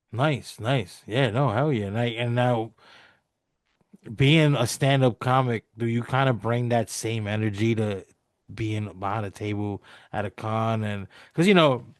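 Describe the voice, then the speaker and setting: A normal speaking voice, with ordinary pitch variation, moves at a fairly slow pace over a quiet background. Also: man, medium pitch for a man. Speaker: podcast host and comic creator. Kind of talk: casual interview chat.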